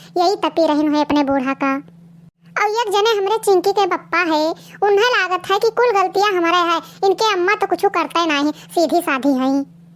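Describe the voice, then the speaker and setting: A woman's cartoonish character voice at an extremely high pitch, delivered at a moderate pace. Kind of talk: rustic comic cartoon dialogue. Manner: loud, quarrelsome.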